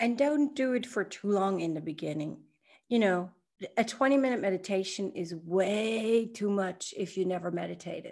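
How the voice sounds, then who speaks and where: Here is a woman with a medium-pitched voice. She talks at a moderate pace with lively intonation. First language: not English. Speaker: podcast co-host and Kundalini yoga practitioner. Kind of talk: casual spiritual conversation. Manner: halting, many fillers and restarts.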